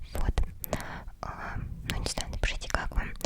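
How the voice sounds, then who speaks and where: Amid noticeable background noise, a woman whispers at a moderate pace. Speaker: ASMR creator. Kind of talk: ASMR whisper. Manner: whispering; close to the mic.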